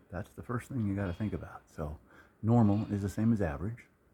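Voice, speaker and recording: A man's fairly low voice comes across as somewhat breathy, with a dark, mellow tone. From US, Hilliard. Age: 60s. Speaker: vlogger. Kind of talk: casual monologue. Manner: halting.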